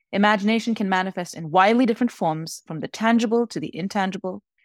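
A woman's plain, everyday voice at a fairly quick pace with ordinary pitch variation, dry and close with no echo, on a very clean recording with a silent background. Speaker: professor and creativity researcher. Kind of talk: reading aloud a prepared essay on imagination, then interview answers.

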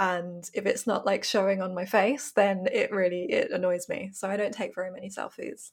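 A woman talks at a moderate pace with hardly any pauses. Hers is an ordinary speaking voice, medium in pitch with ordinary pitch variation. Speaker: film podcast co-host. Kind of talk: casual chat.

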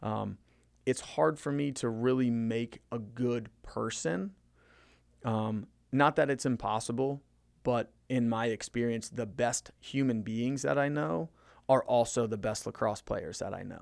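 In a very clean recording with a silent background, a man with an American accent and an unremarkable speaking voice talks at a fairly slow pace, with medium pitch and ordinary pitch variation. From Maryland, Frederick County. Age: 30s. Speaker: high school lacrosse coach. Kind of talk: casual interview.

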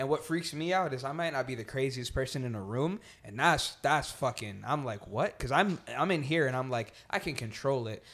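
An ordinary speaking voice, a man with an American accent speaks at medium pitch and a fairly quick pace with lively intonation and hardly any pauses, in a very clean recording with a silent background. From New Jersey. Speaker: rapper. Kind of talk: casual chat.

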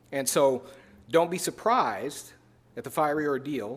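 Pitched fairly high, a man talks with an American accent. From US Midwest, Chicago. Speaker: pastor. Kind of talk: sermon.

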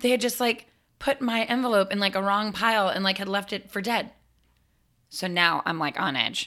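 Loud and animated, the voice has a bright, sharp tone, ordinary pitch variation and a fairly quick pace on a very clean recording with a silent background. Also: woman. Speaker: performer. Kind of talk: casual chat.

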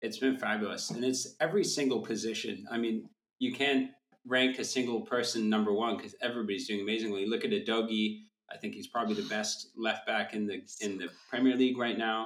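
With a plain, everyday voice, this man talks fairly quickly, his pitch medium and his intonation fairly even. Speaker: football correspondent guest. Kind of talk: casual chat.

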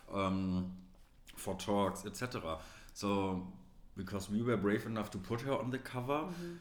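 A man speaks at a fairly slow pace in a fairly low pitch, with lively intonation. He leaves long, frequent pauses. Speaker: magazine co-founder. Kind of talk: casual interview chat.

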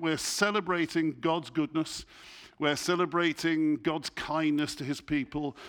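This man has an English accent and a fairly high pitch. He talks at a moderate pace. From England. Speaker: church leader, guest preacher. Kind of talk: sermon. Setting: church.

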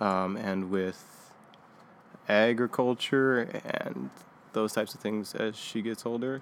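Speaking with a Californian accent, a man with a fairly low pitch keeps his intonation fairly even. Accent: Californian American. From California, Bay Area. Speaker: farmhand. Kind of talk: casual interview.

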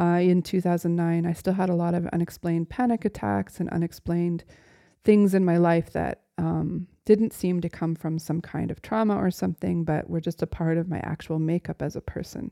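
A woman with a plain, everyday voice speaks at a fairly low pitch and moderate pace, with ordinary pitch variation. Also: very clean recording, silent background. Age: 40s. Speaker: author reading her own memoir. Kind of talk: reading aloud; reflective monologue.

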